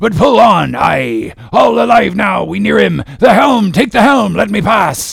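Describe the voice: In a put-on character voice, the speaker goes at a fairly slow pace with lively intonation, vocal fry, and a slightly husky edge. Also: man, high pitch for a man.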